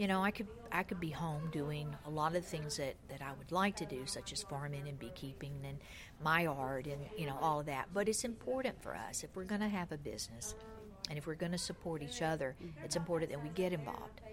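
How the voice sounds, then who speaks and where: A woman speaks with a Southern US accent. Her somewhat breathy voice sits at a very deep, low pitch. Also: ordinary pitch variation, fairly quick pace. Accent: Southern US (Georgia). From US South, Georgia. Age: 60s. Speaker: shop owner. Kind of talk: interview.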